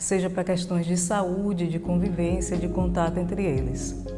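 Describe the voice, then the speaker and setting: Amid audible room echo and noticeable background noise, a woman talks at a fairly slow pace and a fairly low pitch. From Brazil, Bahia (Itabuna). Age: 40s. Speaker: communications professional. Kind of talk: interview testimony.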